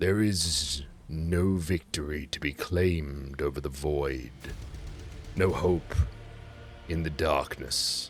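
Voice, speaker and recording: Using a put-on character voice, a man speaks with a very deep, low pitch and a resonant sound, at a very slow pace with long, frequent pauses. His pitch variation is ordinary, and clear background noise is present. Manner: ominous, fatalistic.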